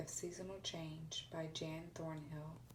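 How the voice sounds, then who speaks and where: Soft-spoken and fairly low-pitched, a woman talks at a fairly slow pace. Vocal fry runs through her voice. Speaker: ASMR reader. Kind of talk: read story.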